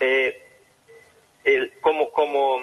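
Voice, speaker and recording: A man with a Brazilian accent. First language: Portuguese (speaking Spanish). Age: 20s. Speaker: author. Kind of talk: radio interview. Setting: phone call. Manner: halting.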